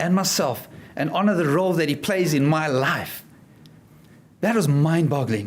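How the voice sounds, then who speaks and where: Audible room echo surrounds a man speaking with a South African accent. His pace is fairly slow. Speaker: motivational speaker and life coach. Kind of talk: speech to an audience. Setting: stage with audience.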